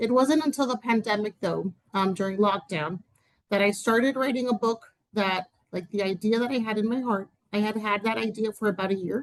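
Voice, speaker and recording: Speaking with a Spanish accent, a woman uses a fairly high pitch, a fairly quick pace, and ordinary pitch variation. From Dominican Republic. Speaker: writer and educator. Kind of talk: interview conversation. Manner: hesitant, many fillers.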